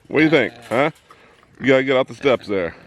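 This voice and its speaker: A man's mid-pitched voice moves fairly quickly as noticeable background noise carries on behind it. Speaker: hobby farmer vlogger. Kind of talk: casual outdoor vlog narration. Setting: outdoors on farm.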